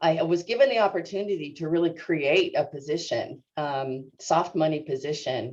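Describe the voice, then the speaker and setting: With a West Coast US accent, a woman speaks at a fairly slow pace in a fairly low voice. Her intonation is lively. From US Northwest, Seattle suburbs. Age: 60s. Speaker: natural resource extension specialist. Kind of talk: interview. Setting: video call webinar. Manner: halting, many fillers.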